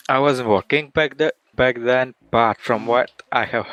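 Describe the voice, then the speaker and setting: A man speaks with a slight Russian accent. His intonation stays fairly even. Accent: sounds a bit Russian. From Latvia. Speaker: game studio marketing person. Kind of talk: interview.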